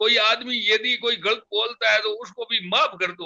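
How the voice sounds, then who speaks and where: A man raises and projects his high voice. His tone is bright and sharp. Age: 70s. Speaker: community elder, guest. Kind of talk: interview, reflective talk. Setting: live online program. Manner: halting, many fillers.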